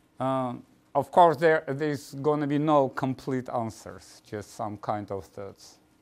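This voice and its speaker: With a non-native accent, a man speaks at a fairly slow pace with big swings in loudness. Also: medium pitch for a man, ordinary pitch variation, very clean recording, silent background. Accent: foreign. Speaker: mathematics professor. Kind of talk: lecture. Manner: halting, many fillers.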